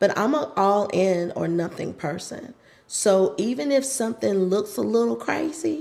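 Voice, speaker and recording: The voice has a dark, mellow tone and very wide pitch swings. It moves at a fairly slow pace. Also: woman, medium pitch for a woman. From US South, North Carolina. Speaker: pilates instructor. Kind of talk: interview conversation.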